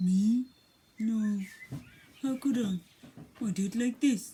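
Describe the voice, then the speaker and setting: A put-on character voice comes through fairly high in pitch at a fairly slow pace. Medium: read story. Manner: matter-of-fact.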